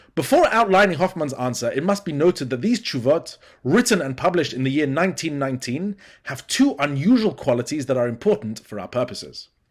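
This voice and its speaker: Talking very fast, a man with a fairly high pitch makes very wide pitch swings. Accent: British. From Britain. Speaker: academic lecturer, student. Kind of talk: conference lecture. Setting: remote pre-recorded presentation. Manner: formal.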